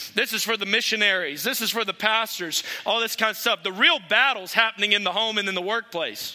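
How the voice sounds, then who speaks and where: Over noticeable background noise, a man with a high pitch uses a raised, projected voice at a fairly quick pace, leaving hardly any pauses and keeping ordinary pitch variation. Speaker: guest preacher. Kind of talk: sermon. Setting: church.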